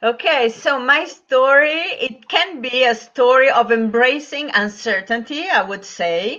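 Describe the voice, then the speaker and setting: A high-pitched woman with an Italian accent projects her voice with lively intonation, going fairly slowly with hardly any pauses. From Italy. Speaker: business and lifestyle coach. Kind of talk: interview. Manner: halting.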